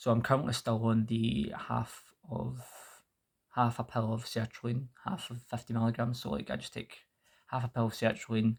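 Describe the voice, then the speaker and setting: This man sounds somewhat breathy at a medium pitch. He speaks at a moderate pace with fairly even intonation. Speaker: mental health vlogger. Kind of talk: personal vlog update. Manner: halting, with fillers.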